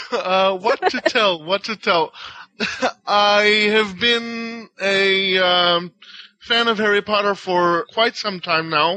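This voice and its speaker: The voice is raised and projected, with a bright, sharp tone. It moves at a very slow pace with fairly even intonation. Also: man, high pitch for a man, dry, close sound with no echo. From Israel. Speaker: podcast panelist. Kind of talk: casual chat. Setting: online voice call.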